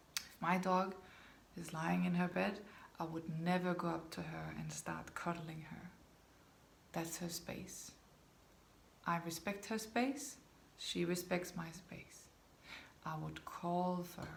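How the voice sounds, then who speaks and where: A woman speaks very slowly in a Danish accent, leaving long, frequent pauses. Audible room echo is present. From Denmark. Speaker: dog behaviour consultant. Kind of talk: talking-head video to camera.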